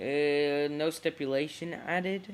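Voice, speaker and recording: This man talks very slowly. His pace is very slow throughout. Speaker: wrestling fan vlogger. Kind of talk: casual prediction vlog. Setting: face cam video. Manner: halting, many fillers.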